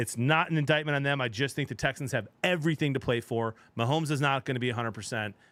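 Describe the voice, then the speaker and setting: A man talks very fast with ordinary pitch variation, recorded very cleanly against a silent background. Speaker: sports show host. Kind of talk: casual sports chat.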